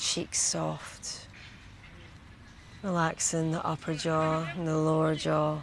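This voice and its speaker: With a very deep, low pitch, a woman speaks in a gentle tone at a very slow pace, her intonation monotone and flat, her loudness very even, and her pauses long and frequent. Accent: Scottish. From Scotland. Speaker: meditation guide, retreat host. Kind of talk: guided body scan meditation. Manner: slow, gentle, soft-spoken.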